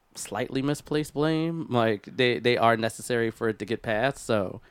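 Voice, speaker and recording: A man speaks with an American accent and a plain, everyday voice at medium pitch, moderate pace and ordinary pitch variation. The recording is very clean with a silent background and a dry, close sound with no echo. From Philadelphia, US. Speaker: podcast co-host. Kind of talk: casual chat. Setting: studio.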